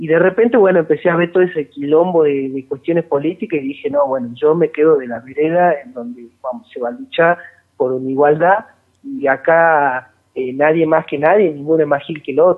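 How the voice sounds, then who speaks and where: A man's normal speaking voice, fairly high in pitch, at a fairly quick pace, with ordinary pitch variation and big swings in loudness. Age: 20s. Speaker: metal band guitarist. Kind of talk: casual interview.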